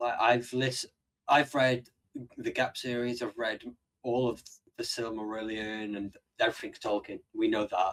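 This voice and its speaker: Delivery is fairly slow and monotone, with flat intonation and long, frequent pauses. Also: man, medium pitch for a man. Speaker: podcast co-host. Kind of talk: casual chat.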